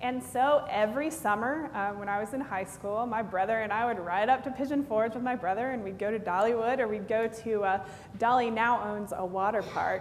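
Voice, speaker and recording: A woman's medium-pitched voice with a slight Tennessee accent, fairly quick and with hardly any pauses, ordinary pitch variation, audible room echo and noticeable background noise. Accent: slight Southern (Tennessee). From East Tennessee, Knoxville area. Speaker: pastor. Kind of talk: sermon. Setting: church. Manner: conversational, many fillers.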